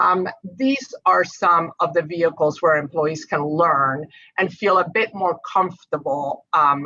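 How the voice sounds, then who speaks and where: A woman speaks at a fairly low pitch in an American accent. Her tone is bright and sharp, and her pace is fairly slow. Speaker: energy company diversity panelist. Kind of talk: webinar panel discussion.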